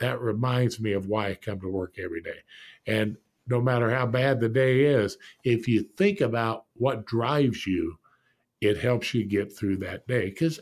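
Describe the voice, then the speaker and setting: A man with an American accent and a plain, everyday voice talks at a moderate pace and medium pitch, with ordinary pitch variation. His loudness swings widely on a very clean recording with a silent background. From Indianapolis, Indiana (US Midwest). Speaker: business executive, former NFL coach. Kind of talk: interview.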